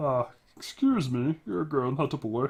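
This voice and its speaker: Someone performs a put-on character voice. The pitch sits low-to-middle at a moderate pace. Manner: polite, correcting.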